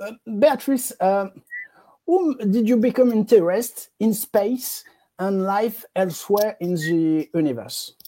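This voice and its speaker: A woman in a French accent, lively intonation at a very slow pace. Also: fairly high pitch for a woman. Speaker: interview host. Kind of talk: interview. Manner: halting.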